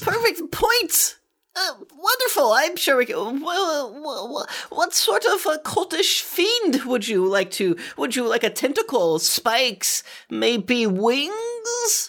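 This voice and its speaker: This is a put-on character voice with a high pitch. It moves at a fairly slow pace with very wide pitch swings. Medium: actual play. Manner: fawning, flustered, stammering.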